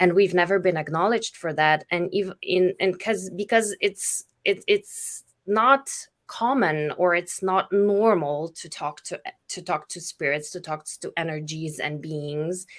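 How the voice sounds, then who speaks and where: Her voice fairly low for a woman, she speaks at a fairly slow pace with ordinary pitch variation and big swings in loudness. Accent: Slovenian. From Slovenia. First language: Slovenian. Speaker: spiritual facilitator. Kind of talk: casual chat. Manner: halting.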